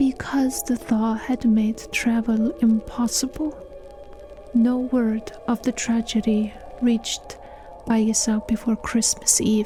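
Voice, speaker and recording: Music plays in the background as a soft-spoken voice moves at a very slow pace with fairly even intonation and very even loudness. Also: woman, fairly high pitch for a woman. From Iceland. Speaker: storyteller. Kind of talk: read story.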